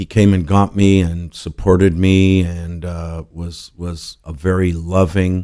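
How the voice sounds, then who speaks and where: A man with an American accent speaks very slowly with a very deep, low pitch and a dark, mellow tone. His intonation is monotone and flat, his loudness swings widely, and the background is quiet. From US West Coast, Los Angeles suburbs. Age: 70s. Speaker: restaurateur and tequila maker. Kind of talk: interview. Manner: halting.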